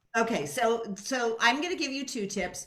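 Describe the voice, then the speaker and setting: Her pitch is fairly high, and it swings very widely. This woman with an American accent keeps a moderate pace over noticeable background noise. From San Francisco, US West Coast. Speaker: leadership coach. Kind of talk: radio interview.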